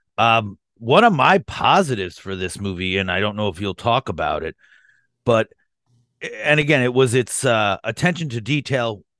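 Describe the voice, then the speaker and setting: In a plain, everyday voice at medium pitch, a man speaks at a moderate pace with lively intonation, the sound dry and close with no echo over a quiet background. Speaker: podcast co-host. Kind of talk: casual film review chat.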